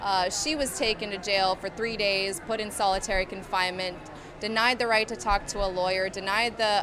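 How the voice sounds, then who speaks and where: A woman with an American accent has an ordinary speaking voice at a medium pitch. She keeps a moderate pace and fairly even intonation. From rural central Pennsylvania. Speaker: anti-pipeline activist. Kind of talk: protest interview testimony.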